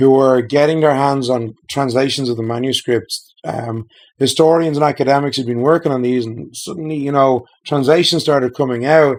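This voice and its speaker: A man's fairly even intonation goes with a fairly quick pace. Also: medium pitch for a man. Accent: Irish. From Ireland, Dublin. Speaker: game designer. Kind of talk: casual chat. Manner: hesitant with many fillers.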